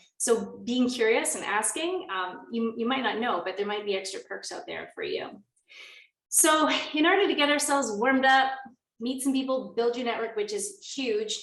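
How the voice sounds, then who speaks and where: Audible room echo surrounds a woman speaking in a high pitch with lively intonation. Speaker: workshop facilitator. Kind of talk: online workshop presentation. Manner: fast.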